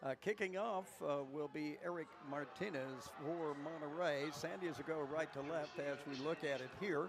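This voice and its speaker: A man with a West Texas accent talks in a fairly high pitch for a man over noticeable background noise. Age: 70s. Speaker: play-by-play announcer. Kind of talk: live commentary.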